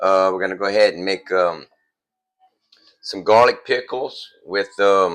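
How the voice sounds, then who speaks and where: The speaker has a Louisiana accent and keeps a moderate pace. Music plays in the background. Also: man. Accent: US Southern (Louisiana). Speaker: homesteader, cooking video host. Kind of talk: tutorial. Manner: casual, halting with fillers.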